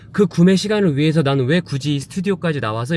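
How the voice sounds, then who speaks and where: A normal speaking voice with lively intonation at a fairly quick pace. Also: man. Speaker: home shopping show host. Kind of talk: casual vlog narration.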